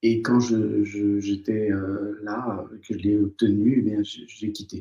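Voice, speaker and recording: Fairly even intonation carries a dark, mellow tone. The voice is somewhat breathy and the pace very slow. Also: man. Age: 60s. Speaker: former surgeon turned psychotherapist. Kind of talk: interview. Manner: hesitant, many fillers.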